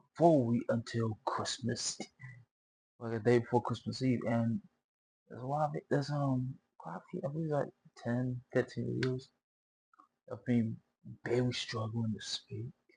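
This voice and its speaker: A somewhat breathy, medium-pitched male voice with ordinary pitch variation, moderate pace and long, frequent pauses, dry and close with no echo. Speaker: reaction video creator. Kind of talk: casual chat. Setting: wearing a headset.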